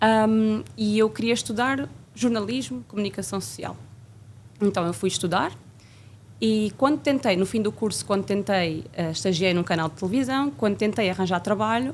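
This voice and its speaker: A woman with a normal speaking voice, a medium pitch, lively intonation and a moderate pace. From Portugal, Coimbra region. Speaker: flight attendant. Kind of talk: interview.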